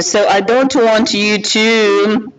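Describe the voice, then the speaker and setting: A man's speech carries ordinary pitch variation, with audible room echo and noticeable background noise around it. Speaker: film producer. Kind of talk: conference presentation. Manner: halting, many fillers.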